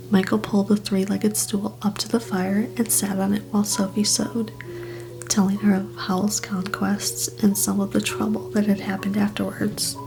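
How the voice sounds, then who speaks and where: Music plays in the background. The speaker is soft-spoken, with a gentle tone and a moderate pace. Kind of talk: quiet narration of novel prose. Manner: soft-spoken, gentle.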